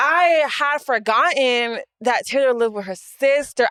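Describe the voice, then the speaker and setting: Projecting a raised voice, a woman speaks at a high pitch and fairly slow pace, her tone bright, sharp and animated. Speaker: podcast co-host. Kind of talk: casual chat. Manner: loud.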